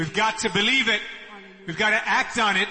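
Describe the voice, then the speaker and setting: A high-pitched man at a moderate pace, over noticeable background noise. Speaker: worship or service leader. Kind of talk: leading giving and prayer. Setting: church.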